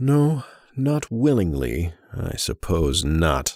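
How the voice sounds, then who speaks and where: A man puts on a character voice at a very deep, low pitch, speaking very slowly with very wide pitch swings. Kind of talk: horror narration. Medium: read story. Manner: calm, gentle menace.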